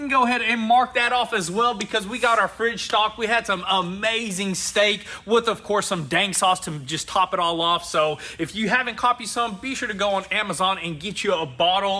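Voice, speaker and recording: A man talks fairly quickly in a raised, projected voice with ordinary pitch variation and hardly any pauses. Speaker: shop owner vlogger. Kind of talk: casual vlog chat. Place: garage.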